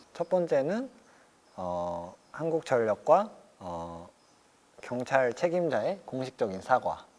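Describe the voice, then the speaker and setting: A man with a medium-pitched voice speaks at a very slow pace, leaving long, frequent pauses. His pitch swings very widely. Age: 20s. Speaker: carpenter and anti-power-line activist. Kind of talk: interview answer.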